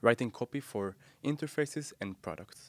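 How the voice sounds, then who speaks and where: A man talks at a moderate pace on a very clean recording with a silent background and a dry, close sound with no echo. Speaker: UX and graphic designer, course creator. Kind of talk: interview.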